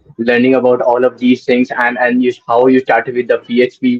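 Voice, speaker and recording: A man speaks in a monotone, flat intonation. Music plays in the background. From India. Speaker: podcast host, developer relations. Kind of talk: casual interview.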